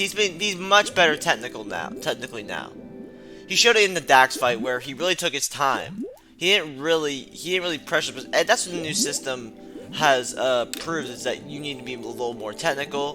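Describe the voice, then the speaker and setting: Over background music, a man talks at a fairly quick pace in a fairly high pitch, his loudness swinging widely. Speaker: fight sports commentator. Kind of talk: casual talk to camera.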